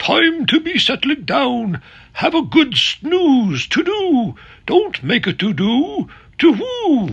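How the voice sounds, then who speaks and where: A man's put-on character voice, extremely high in pitch and delivered at a very slow pace. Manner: drowsy, sing-song.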